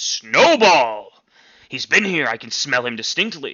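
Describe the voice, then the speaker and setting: Using a put-on character voice, a man speaks high-pitched at a fairly slow pace. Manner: booming, exclaiming.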